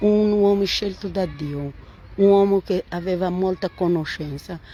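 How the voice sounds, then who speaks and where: This woman talks at a very slow pace in a medium pitch. Her pitch varies in an ordinary way. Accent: Portuguese. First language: Portuguese (speaking Italian). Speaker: Bible teacher. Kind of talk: Bible reading and commentary livestream. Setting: Facebook live stream. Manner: halting.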